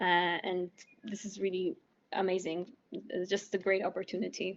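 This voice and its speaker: A woman with a Polish accent speaks at a moderate pace and a medium pitch. Her intonation is monotone and flat. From Poland. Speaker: medical student. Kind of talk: interview. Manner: halting, many fillers.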